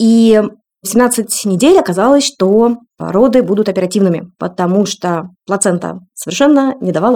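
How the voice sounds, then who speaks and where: A woman's medium-pitched voice, dark and mellow in tone, with ordinary pitch variation at a moderate pace. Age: 40s. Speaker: breastfeeding consultant and mother. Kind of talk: personal testimony in podcast interview.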